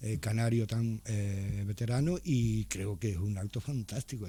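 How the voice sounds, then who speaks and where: A man with a somewhat breathy voice and a dark, mellow tone speaks at a fairly low pitch and a fairly slow pace, his intonation lively. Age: 60s. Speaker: writer. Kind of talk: radio interview. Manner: hesitant, many fillers.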